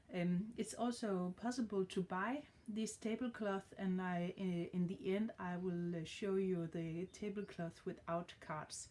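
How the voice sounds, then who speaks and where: The speaker has a Danish accent and a dark, mellow tone at a fairly slow pace. Light background noise runs underneath. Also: woman. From Denmark. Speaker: card reader. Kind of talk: tarot reading tutorial. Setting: home with dog. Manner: halting, many fillers. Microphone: phone near.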